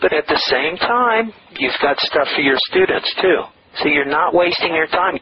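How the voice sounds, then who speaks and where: Over noticeable background noise, a man with a high pitch talks at a moderate pace, his intonation lively and his loudness very even. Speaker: online publisher and internet marketer. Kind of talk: interview.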